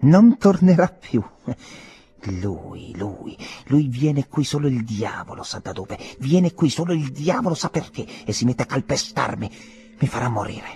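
Putting on a character voice, a man speaks at a moderate pace with a fairly high pitch and very wide pitch swings. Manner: resentful, defiant.

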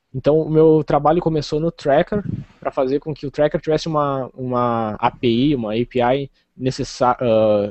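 The man has a normal speaking voice at medium pitch. His pitch variation is ordinary. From southern Rio Grande do Sul, Brazil (Rio Grande). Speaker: computer science student and open-source contributor. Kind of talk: interview.

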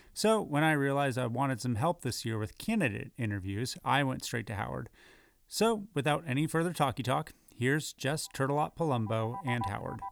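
An ordinary speaking voice from a man, medium in pitch, with lively intonation and a fairly quick pace. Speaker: podcast host. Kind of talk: scripted narration.

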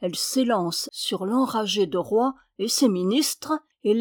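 Quiet surroundings behind a natural reading voice

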